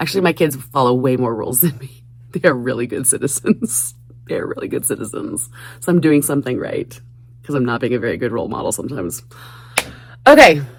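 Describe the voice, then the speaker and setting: Over noticeable background noise, a woman speaks at a very fast pace. Her speech is broken by long, frequent pauses. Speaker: crafting YouTuber. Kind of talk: casual craft vlog. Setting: basement craft room.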